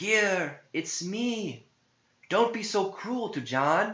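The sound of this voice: A man's put-on character voice, high, bright and sharp, with lively intonation at a very slow pace in audible room echo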